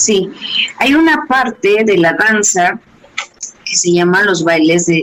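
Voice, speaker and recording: Noticeable background noise sits behind a woman's very slow speech. Her intonation is lively. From Mexico City. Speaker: dance movement therapist and dance company director. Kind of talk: interview.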